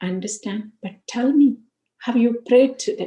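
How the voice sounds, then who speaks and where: Somewhat breathy, a woman speaks with a dark, mellow tone. Her pitch is fairly high, with ordinary variation. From India. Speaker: spiritual speaker. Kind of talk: spiritual talk with personal testimony.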